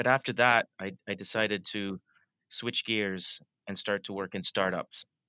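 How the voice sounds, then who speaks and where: The speech moves at a moderate pace with fairly even intonation, and the recording is very clean, with a silent background and a dry, close sound with no echo. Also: man, fairly low pitch for a man. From Canada, Toronto. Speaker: design school creative director. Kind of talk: interview.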